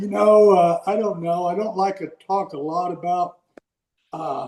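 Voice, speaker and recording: Fairly even intonation from a high-voiced man at a fairly slow pace. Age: 70s. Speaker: recovery mentor, guest. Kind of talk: interview testimony.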